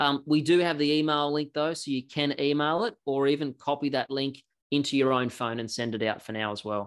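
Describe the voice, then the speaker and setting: Talking at a fairly quick pace with hardly any pauses, a man with an Australian accent uses a fairly high pitch and ordinary pitch variation against a quiet background. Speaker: software company representative; presenter. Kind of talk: product demo. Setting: video call. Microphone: video call.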